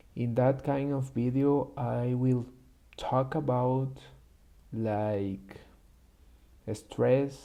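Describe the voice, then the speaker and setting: With a Spanish accent, a man speaks very slowly in a dark, mellow tone. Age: 20s. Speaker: YouTuber practicing English. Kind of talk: personal vlog monologue. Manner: halting, with many fillers.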